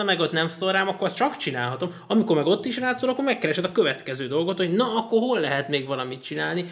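Noticeable background noise sits behind a man talking at a very fast pace. His voice is high, with lively intonation. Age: 20s. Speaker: podcast host. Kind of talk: casual chat. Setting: studio.

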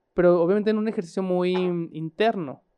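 A man speaks with a high pitch and a dark, mellow tone. His intonation stays fairly even. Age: 30s. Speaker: podcast co-host. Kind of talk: casual chat.

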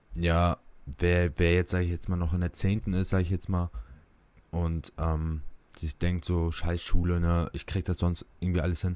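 In a very clean recording with a silent background, a man speaks at a moderate pace. His pitch is very deep and low, his intonation monotone and flat. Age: 19. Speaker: podcast guest, aspiring nurse. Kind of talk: casual chat.

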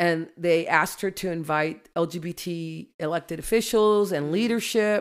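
In an American accent, a woman with a plain, everyday voice and a fairly low pitch speaks at a fairly slow pace with ordinary pitch variation, on a very clean recording with a silent background. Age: 50s. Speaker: judge. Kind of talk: casual chat.

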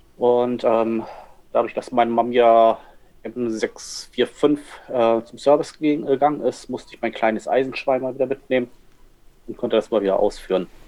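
With a dark, mellow tone and medium pitch, a man speaks in fairly even intonation, pausing long and often while his loudness swings widely. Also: moderate pace. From northern Germany. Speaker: photographer. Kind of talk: casual chat. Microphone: poor sound quality, can microphone.

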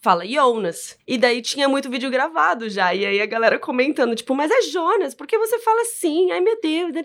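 With a Brazilian accent, a woman talks in a high voice at a moderate pace, with very wide pitch swings and hardly any pauses. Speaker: podcast host and film presenter. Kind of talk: casual chat.

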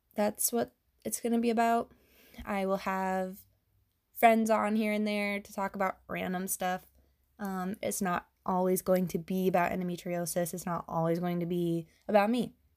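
A woman of medium pitch speaks at a moderate pace with fairly even intonation. The recording is very clean, with a silent background. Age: 30s. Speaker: podcast host, endometriosis patient advocate. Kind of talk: solo monologue podcast. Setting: home recording late at night. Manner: hesitant, many filler ums.

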